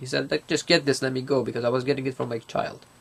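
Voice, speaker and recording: Speaking very fast in a non-native accent, the man keeps his medium-pitched voice flat and monotone. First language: not English. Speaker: student. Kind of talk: casual interview. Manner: halting.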